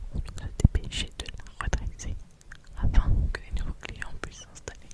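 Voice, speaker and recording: A woman whispers, her loudness swinging widely. Noticeable background noise can be heard. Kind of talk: ASMR whispering close to the microphone. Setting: close to a microphone. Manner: whispered, slow, soft.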